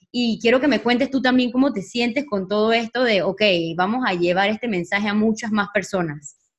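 A woman speaks at a fairly quick pace in a somewhat breathy voice with ordinary pitch variation. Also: fairly high pitch for a woman. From Panama. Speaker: podcast host. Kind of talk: casual interview.

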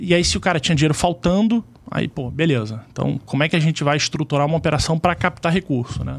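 Vocal fry runs through a man's very fast speech, which has hardly any pauses. His pitch varies in an ordinary way. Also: fairly high pitch for a man. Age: 40s. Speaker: insurance sales executive, former corporate banker. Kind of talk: casual chat.

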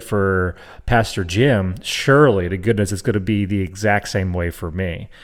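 Speaking at a moderate pace with an American accent, a man with an ordinary speaking voice and fairly low pitch shows ordinary pitch variation in a very clean recording with a silent background. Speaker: co-host. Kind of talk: casual chat.

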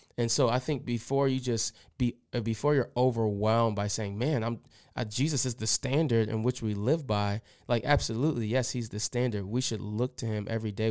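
A plain, everyday voice belongs to a man of medium pitch. He talks at a fairly quick pace with fairly even intonation. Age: 30s. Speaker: pastor. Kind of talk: casual chat.

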